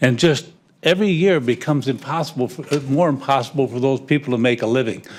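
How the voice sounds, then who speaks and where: A man talks at a very fast pace with fairly high pitch and ordinary pitch variation. The recording is very clean, with a silent background. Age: 80s+. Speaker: property owner giving public comment. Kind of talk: public comment at council meeting. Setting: city council chamber. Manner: halting, repetitive.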